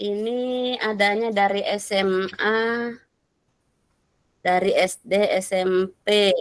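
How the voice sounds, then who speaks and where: A woman's medium-pitched, monotone, flat voice at a very slow pace, with long, frequent pauses. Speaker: facilitator of teacher training discussion forum. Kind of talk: online class discussion.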